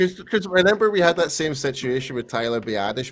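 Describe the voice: Against music in the background, the speaker talks at a fairly quick pace with an American accent and very wide pitch swings. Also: man.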